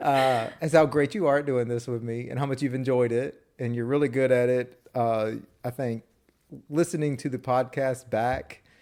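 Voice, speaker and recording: In a Southern US accent, a medium-pitched man talks with fairly even intonation over a silent background on a very clean recording. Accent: Southern US drawl. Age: 30s. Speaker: podcast co-host. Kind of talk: casual chat. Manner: slurred, words run together.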